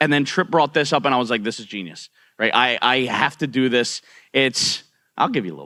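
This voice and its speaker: This man talks at a fairly quick pace in a medium pitch with lively intonation and vocal fry, on a very clean recording with a silent background. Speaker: streamer. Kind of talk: panel discussion. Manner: halting, many fillers.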